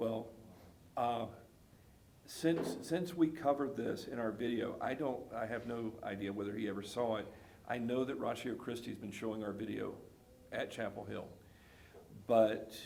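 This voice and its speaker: A man with a Southern US accent talks at a moderate pace and medium pitch, with ordinary pitch variation and long, frequent pauses. Audible room echo and noticeable background noise fill the recording. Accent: Southern US (Georgia). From US South, South Georgia. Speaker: pastor. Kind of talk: casual chat.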